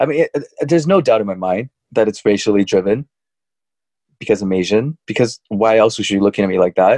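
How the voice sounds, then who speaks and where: A fairly low, dark, mellow male voice at a fairly quick pace with ordinary pitch variation. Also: dry, close sound with no echo. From China, Wuhan. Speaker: podcast co-host. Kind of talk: casual chat.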